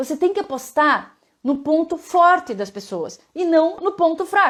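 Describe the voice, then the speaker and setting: A woman speaks at an extremely high pitch with very wide pitch swings. Her tone is animated. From Curitiba, Paraná, southern Brazil. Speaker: leadership speaker. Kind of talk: live-stream talk to viewers. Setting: Instagram live.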